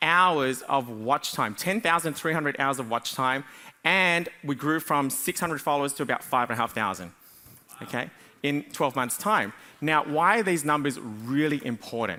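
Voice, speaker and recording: A man with an Australian accent, fairly high pitch, bright and sharp tone, lively intonation and a moderate pace. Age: 40s. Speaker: business coach. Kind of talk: conference talk. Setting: stage with audience.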